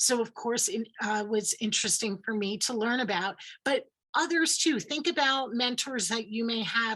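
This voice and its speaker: Speaking in a New York accent at a moderate pace, a woman uses lively intonation and a bright, sharp tone. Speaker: credit coach. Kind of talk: presentation.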